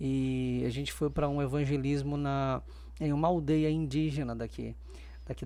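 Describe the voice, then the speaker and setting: A man at a moderate pace, with audible room echo. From Maranhão, Brazil. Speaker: doctor, church member. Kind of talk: podcast interview, testimony.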